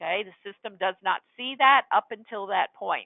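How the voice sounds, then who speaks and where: A woman with a fairly high pitch speaks at a fairly slow pace in a plain, everyday voice, with ordinary pitch variation. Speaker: software trainer. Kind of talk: webinar tutorial. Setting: webinar with screen share.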